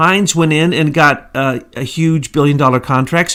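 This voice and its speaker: Fairly slowly, a man speaks in an American accent. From US Ozarks. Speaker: political commentary podcaster. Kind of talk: casual political talk. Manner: slower than co-host.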